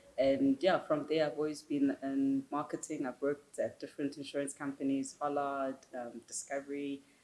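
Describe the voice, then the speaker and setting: In a South African accent, a woman speaks at a moderate pace with hardly any pauses, her very deep, low, dark, mellow voice held in a monotone, flat intonation. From South Africa, Soweto, Johannesburg. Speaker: marketing executive. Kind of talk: interview.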